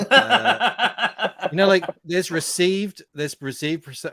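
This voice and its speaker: In a General Australian accent, a man with a bright, sharp tone speaks at a fairly slow pace, the sound dry and close with no echo. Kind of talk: casual chat.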